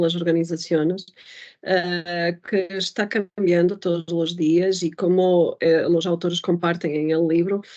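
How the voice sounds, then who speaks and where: A woman with a Portuguese accent speaks at a fairly slow pace in a fairly low pitch and a dark, mellow tone. Her intonation is monotone and flat, and the background is quiet. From Portugal. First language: Portuguese (speaking Spanish). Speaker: data strategy professional, book reviewer. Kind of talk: casual conversation, book review. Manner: slow, deliberate; halting, many fillers.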